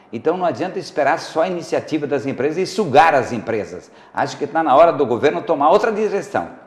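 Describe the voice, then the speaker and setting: Very fast, lively speech with hardly any pauses, over noticeable background noise. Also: man, fairly high pitch for a man. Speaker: guest expert on talk show. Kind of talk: TV talk show discussion. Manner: uneven loudness, sometimes too loud, sometimes very quiet; hesitant, many fillers.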